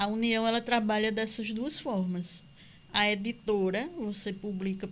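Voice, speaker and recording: There is audible room echo as a woman speaks with a fairly high pitch and ordinary pitch variation. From Campina Grande, Paraíba, Brazil. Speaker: author and cultural producer. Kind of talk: interview. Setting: studio.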